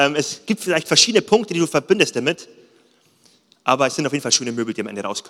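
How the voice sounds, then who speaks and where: Sounding animated, a man with a fairly high voice makes very wide pitch swings in a dry, close recording with no echo. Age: 30s. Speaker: pastor. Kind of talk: sermon.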